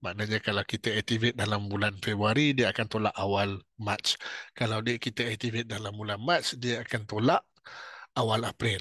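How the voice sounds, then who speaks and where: In a Malaysian accent, a man with a fairly low pitch and a bright, sharp tone speaks with fairly even intonation, the sound dry and close with no echo against a quiet background. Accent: Malaysian Malay. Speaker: futures trading instructor. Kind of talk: tutorial. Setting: webinar. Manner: slow.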